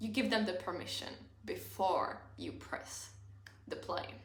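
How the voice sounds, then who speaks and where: A woman is speaking. She has a non-native accent. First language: not English. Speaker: self-help content creator. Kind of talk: casual talk to camera.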